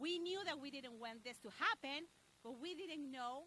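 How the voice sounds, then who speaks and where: A woman speaks in a raised, projected voice with a Spanish accent and a high pitch. Her intonation is lively and her pace moderate. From Mexico. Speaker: local business association leader. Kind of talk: press conference speech.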